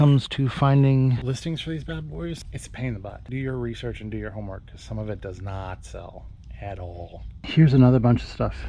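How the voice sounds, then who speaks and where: A man speaks at a fairly quick pace, his loudness swinging widely. Audible room echo surrounds his voice. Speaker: reseller vlogger. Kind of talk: casual vlog while shopping. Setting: inside a store. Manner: naturally loud.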